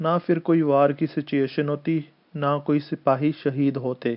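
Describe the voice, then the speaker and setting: His pitch fairly high for a man, he speaks in a flat monotone. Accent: Punjabi. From Punjab, India. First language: Punjabi (speaking Hindi). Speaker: political commentator. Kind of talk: opinion monologue.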